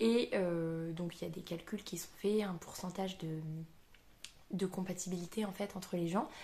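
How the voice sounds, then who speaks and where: A somewhat breathy woman speaks at medium pitch and a fairly slow pace. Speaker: booktuber. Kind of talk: casual book review vlog. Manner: hesitant, many fillers.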